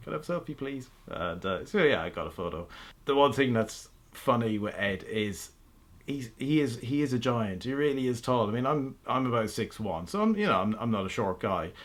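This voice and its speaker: At a moderate pace, a man speaks at medium pitch with an Irish accent. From Ireland. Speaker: automotive blogger and YouTuber. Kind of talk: casual vlog update. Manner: animated; halting.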